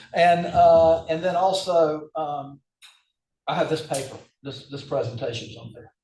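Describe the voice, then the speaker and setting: Big swings in loudness mark a man's fairly high-pitched voice, which has a dark, mellow tone, a moderate pace and audible room echo. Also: ordinary pitch variation. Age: 70s. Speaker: hand surgeon lecturer. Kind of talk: casual discussion after lecture. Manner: hesitant, many fillers.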